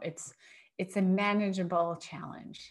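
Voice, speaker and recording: Over a quiet background, a woman speaks at medium pitch in an unremarkable speaking voice. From US Northeast. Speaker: food allergy business owner and parent. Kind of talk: casual interview.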